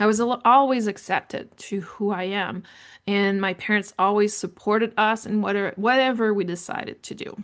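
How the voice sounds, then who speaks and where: Against a quiet background, a woman with a French Canadian accent speaks at a moderate pace and medium pitch, her intonation fairly even. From Canada, francophone New Brunswick. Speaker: podcast host on leadership. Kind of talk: personal storytelling monologue.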